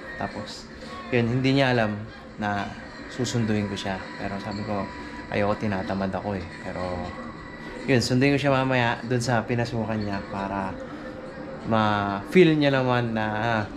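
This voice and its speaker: A man with a fairly low pitch and ordinary pitch variation speaks at a moderate pace with long, frequent pauses, over noticeable background noise and audible room echo. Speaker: vlogger. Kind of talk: casual vlog talk.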